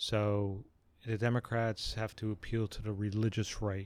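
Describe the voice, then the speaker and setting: A very clean recording with a silent background of a man at a fairly low pitch, very slow pace and fairly even intonation. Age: 60s. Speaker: father of the host, political commentator. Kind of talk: casual chat. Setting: outdoors on a back patio.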